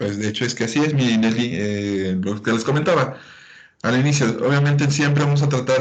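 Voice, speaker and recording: Ordinary pitch variation shapes a man's speech, heard with audible room echo. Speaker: medical lecturer. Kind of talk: lecture.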